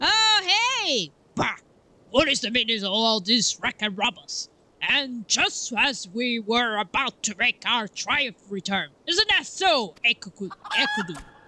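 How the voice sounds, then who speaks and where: In a put-on character voice, the speaker moves at a fairly slow pace with very wide pitch swings. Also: female-sounding voice, high pitch for a woman. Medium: game stream. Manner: theatrical, grandiose.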